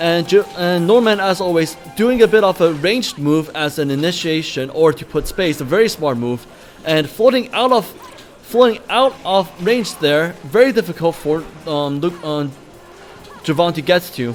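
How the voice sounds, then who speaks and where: Over noticeable background noise, a man talks with lively intonation at a high pitch and a moderate pace. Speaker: esports commentator. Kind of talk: live commentary. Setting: live event with audience. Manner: loud; animated.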